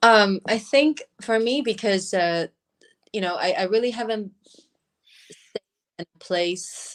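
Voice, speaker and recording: In a Chinese accent, a woman talks at a fairly slow pace with long, frequent pauses. Her pitch is fairly high with ordinary variation, and the sound is dry and close with no echo. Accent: Mandarin-accented English. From Taiwan. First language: Mandarin. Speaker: beauty brand founder. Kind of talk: interview. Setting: livestream. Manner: halting.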